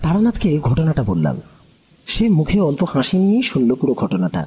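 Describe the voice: A man talks at a moderate pace and a fairly high pitch, with very wide pitch swings. His tone is dark and mellow with a husky, rough edge.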